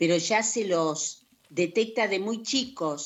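Very slowly, a woman talks with ordinary pitch variation. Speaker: radio co-host. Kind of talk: reading aloud.

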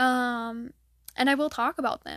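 In an American accent, a woman speaks at a high pitch with fairly even intonation, on a very clean recording with a silent background and a dry, close sound with no echo. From Michigan. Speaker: podcaster. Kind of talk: casual solo chat, life update. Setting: home, alone, dog nearby. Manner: monotone, tired; filler-heavy, rambling.

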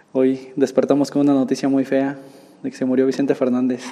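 Over noticeable background noise, a man speaks at a fairly quick pace with a fairly high pitch. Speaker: podcast host. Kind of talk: casual interview.

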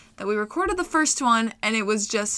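The voice has a bright, sharp tone and an animated delivery. It moves at a fairly quick pace. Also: woman. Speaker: podcast co-host. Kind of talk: casual chat. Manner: fast talker.

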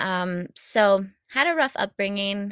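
An American-accented woman speaks at a very slow pace with fairly even intonation, the sound dry and close with no echo on a very clean recording with a silent background. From Illinois. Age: 20s. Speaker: podcast host. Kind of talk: personal storytelling monologue.

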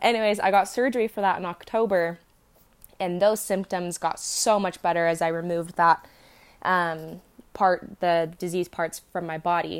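Recorded very cleanly against a silent background, a woman with a normal speaking voice and a fairly low pitch talks at a moderate pace with fairly even intonation. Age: 20s. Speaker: podcast host. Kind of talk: personal monologue. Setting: in bed at home. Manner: casual, many fillers.

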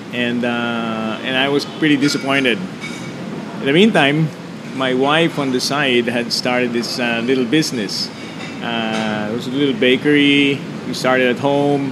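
A man talks at a moderate pace with medium pitch and ordinary pitch variation. Noticeable background noise and audible room echo are present. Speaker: entrepreneur. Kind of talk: interview. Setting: restaurant.

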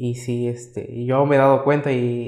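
A man speaks at a fairly slow pace. His voice carries audible room echo. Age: young. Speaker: makeup artist and entrepreneur. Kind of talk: casual interview.

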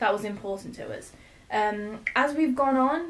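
A woman is speaking here. Her pitch is high and her pace is moderate. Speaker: brewer. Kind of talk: casual chat. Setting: sharing one microphone.

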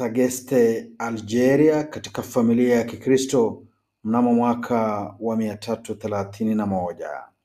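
Recorded very cleanly against a silent background, a man speaks at a fairly slow pace in a medium pitch with ordinary variation and a dark, mellow tone. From Kenya. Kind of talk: scripted narration. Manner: formal.

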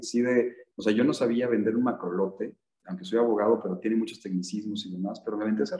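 Very fast speech from a man with a medium pitch. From Mexico, Michoacán. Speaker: entrepreneur. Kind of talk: interview.

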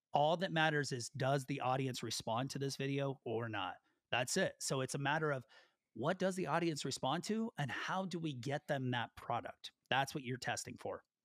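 Moderately paced speech from a man with a fairly high voice and ordinary pitch variation. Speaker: YouTube creator and former teacher. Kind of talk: casual interview chat. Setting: video call.

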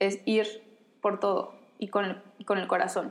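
A woman with a Mexican accent speaks in a monotone, flat intonation. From Mexico. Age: 20s. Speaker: podcast creator and communicator. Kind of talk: casual chat.

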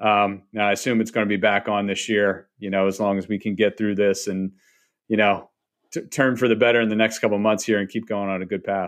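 Monotone, flat intonation from a man pitched fairly low. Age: 30s. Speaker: podcast host. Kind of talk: casual interview. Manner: filler-heavy, repetitive.

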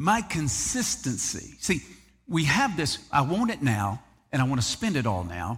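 An animated, somewhat breathy voice with a Southern US accent at a fairly slow pace, on a very clean recording with a silent background. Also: man. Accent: Southern US (Georgia). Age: 50s. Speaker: pastor. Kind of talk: sermon. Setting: church.

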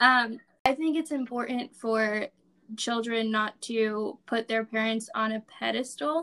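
A woman speaks in a high voice with a bright, sharp tone. Her intonation stays fairly even. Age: 20s. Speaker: podcast co-host. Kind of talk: casual chat.

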